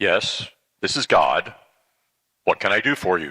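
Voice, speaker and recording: Raspy and delivered at a moderate pace, this is a put-on character voice. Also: man. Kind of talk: dramatic reading with humor, sermon excerpt. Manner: warm, gently humorous, calm, patient.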